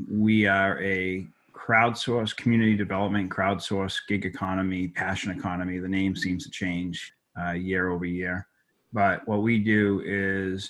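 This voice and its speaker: Against a quiet background, a man with a slight Boston accent speaks at a fairly low pitch and a moderate pace, his intonation monotone and flat. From Boston, Massachusetts. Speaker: tech company executive. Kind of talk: interview.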